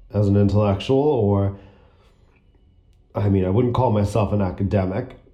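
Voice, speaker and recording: At a moderate pace, a man talks with long, frequent pauses, a dark, mellow tone and very even loudness. His intonation is fairly even, and audible room echo surrounds the voice. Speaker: student podcaster. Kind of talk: personal monologue. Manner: frequent throat clearing and coughing; labored, difficult speech.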